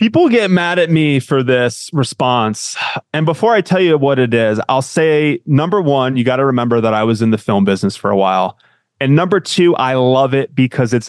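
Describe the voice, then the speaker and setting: Using a normal speaking voice, a man with an American accent talks at a moderate pace with lively intonation. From US Northeast, Connecticut. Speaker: marketing manager at a software company. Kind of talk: interview chat.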